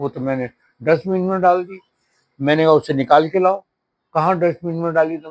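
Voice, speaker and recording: The recording is dry and close with no echo, capturing a man's high-pitched voice with ordinary pitch variation. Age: 70s. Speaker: shopkeeper. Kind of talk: testimony.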